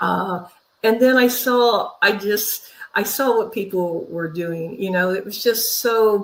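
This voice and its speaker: With an American accent, a woman talks at a fairly slow pace, her pitch varying in an ordinary way. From California, Central Valley (Fresno area). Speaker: minister and spiritual teacher. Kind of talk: interview. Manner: halting, many repeated words.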